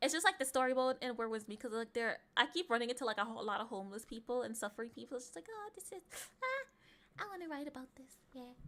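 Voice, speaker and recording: A woman with an American accent, high-pitched and very fast, with lively intonation and big swings in loudness. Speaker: vtuber streamer. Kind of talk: casual livestream chat. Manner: rambling, self-correcting.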